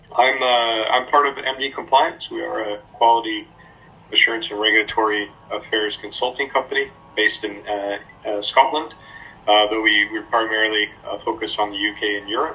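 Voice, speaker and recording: A man's medium-pitched voice with an American accent, moderate pace and fairly even intonation, over noticeable background noise. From United States. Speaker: regulatory affairs consultant. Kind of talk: interview. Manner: hesitant, many fillers and repeats.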